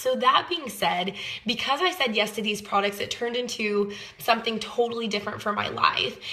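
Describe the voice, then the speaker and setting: Against noticeable background noise, a woman talks at a fairly quick pace, her fairly high pitch carried in fairly even intonation. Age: 20s. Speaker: network marketing sales leader. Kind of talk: personal testimony sales pitch.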